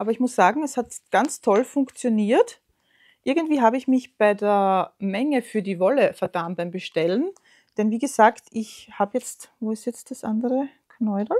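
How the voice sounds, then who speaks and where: A woman's fairly high voice in an Austrian accent, with ordinary pitch variation and a moderate pace against a quiet background. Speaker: knitting podcaster. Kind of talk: casual show-and-tell vlog; casual vlog chat. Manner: hesitant, many fillers. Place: home room.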